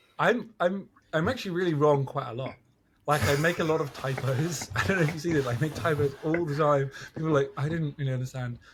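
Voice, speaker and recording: A man speaks very fast with a British accent, his pitch fairly high for a man. His voice is somewhat breathy, with ordinary pitch variation. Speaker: podcast guest. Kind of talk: casual chat. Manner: mumbling.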